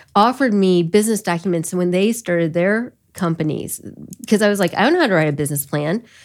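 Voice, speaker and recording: A woman with an American accent speaks at a very fast pace and a medium pitch. Her pitch variation is ordinary, and the recording is very clean with a silent background. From US Midwest, Elkhart County, Indiana. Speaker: business founder. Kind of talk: interview conversation.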